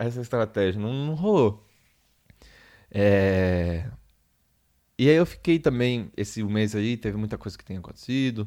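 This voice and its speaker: A man with a dark, mellow tone and fairly low pitch speaks at a fairly slow pace, with long, frequent pauses and ordinary pitch variation. His loudness swings widely on a very clean recording with a silent background. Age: 20s. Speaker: solo podcaster, graphic designer. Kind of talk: casual solo monologue. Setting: home. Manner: halting, many repetitions.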